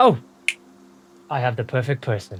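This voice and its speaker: Put on as a character voice, the speech comes out gruff at a moderate pace. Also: man. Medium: actual play. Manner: gruff, blunt.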